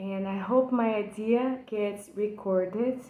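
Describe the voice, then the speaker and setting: Over noticeable background noise and audible room echo, a woman with a Brazilian accent speaks at a fairly high pitch in a monotone, flat intonation. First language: Portuguese. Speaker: poetry enthusiast. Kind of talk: personal video lecture on a poem. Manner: halting, with frequent fillers.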